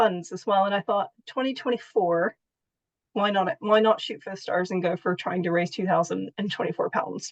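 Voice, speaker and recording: Speaking at a fairly quick pace with ordinary pitch variation, a woman with an American accent and an unremarkable speaking voice at medium pitch is recorded with a dry, close sound and no echo. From United States. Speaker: patient and charity fundraiser. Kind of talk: interview.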